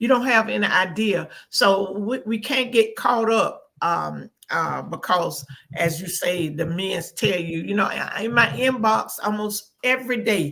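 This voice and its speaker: Her voice bright and sharp with vocal fry, a woman speaks at a fairly slow pace with ordinary pitch variation. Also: medium pitch for a woman. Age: 70s. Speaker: talk show co-host. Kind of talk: casual chat.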